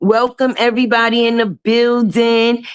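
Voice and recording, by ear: At a moderate pace, a woman speaks with a fairly high pitch, little pitch movement and a clear, smooth tone.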